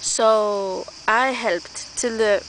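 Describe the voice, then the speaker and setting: A woman with a non-native accent speaks at a fairly high pitch over noticeable background noise. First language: not English. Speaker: vlogger. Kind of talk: casual monologue vlog. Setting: outdoors in the woods. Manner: halting, many restarts.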